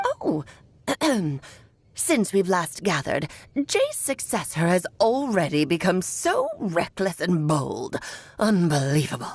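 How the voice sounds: Using a put-on character voice, a woman speaks at a fairly slow pace and medium pitch, pausing long and often.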